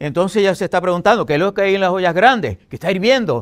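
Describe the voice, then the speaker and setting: A high-pitched male voice comes through on a very clean recording with a silent background. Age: 70s. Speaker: messianic pastor. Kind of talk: debate.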